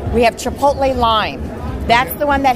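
A woman is speaking. Crowd noise is heard in the background. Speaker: booth vendor. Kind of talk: interview answer. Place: hall. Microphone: camera far.

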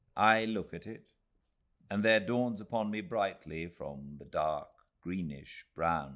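A man speaks at a fairly slow pace with a warm tone. His pitch varies an ordinary amount over a quiet background. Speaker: actor and audiobook narrator. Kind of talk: audiobook reading of a Victorian novel, read aloud live. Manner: measured, unhurried, warm literary narration with careful, expressive pacing. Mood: calm, cozy, measured. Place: home room.

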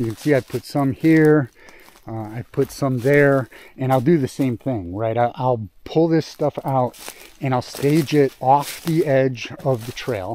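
A man's dark, mellow voice at a fairly slow pace, with ordinary pitch variation and a dry sound with no echo. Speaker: outdoor work vlogger. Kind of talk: casual vlog narration. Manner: halting, many fillers. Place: forest. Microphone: phone near.

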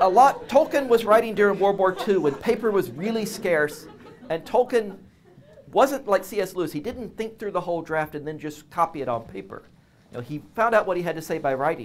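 A man speaks at a fairly quick pace in a high voice, his pitch swinging very widely and his loudness rising and falling sharply, with music playing in the background. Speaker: guest. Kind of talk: lecture. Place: classroom. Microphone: lapel.

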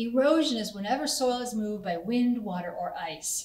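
A somewhat breathy woman's voice amid audible room echo. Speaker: conservation educator. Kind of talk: educational explanation. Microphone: camera far.

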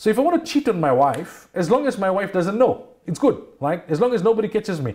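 The speech moves at a fairly quick pace with lively intonation. Behind it, the background stays quiet. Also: man. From South Africa. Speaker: Islamic scholar and radio personality. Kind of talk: religious talk show discussion. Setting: TV studio. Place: studio. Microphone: lapel.

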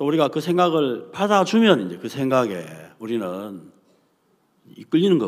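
Over a quiet background, a man talks with very wide pitch swings. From South Korea. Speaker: preacher. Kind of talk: sermon. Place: hall. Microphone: podium.

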